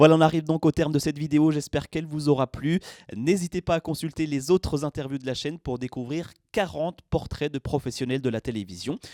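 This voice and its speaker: In a very clean recording with a silent background and a dry, close sound with no echo, a man with a fairly high pitch and a dark, mellow tone speaks at a fairly quick pace with ordinary pitch variation. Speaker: interviewer and channel host. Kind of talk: video outro.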